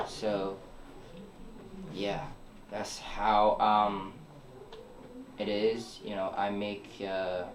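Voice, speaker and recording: A man with a fairly low pitch speaks at a very slow pace in a monotone, flat way, leaving long, frequent pauses. Noticeable background noise and audible room echo are present. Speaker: young musician. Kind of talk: interview. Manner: halting.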